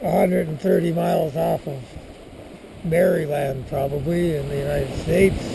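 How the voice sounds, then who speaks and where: A man's fairly high voice at a moderate pace, ordinary pitch variation, audible room echo and noticeable background noise. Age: 70s. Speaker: sailing crew member filming a boat tour. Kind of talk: casual video tour narration. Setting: outdoors on a sailboat at sea. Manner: casual with many filler words.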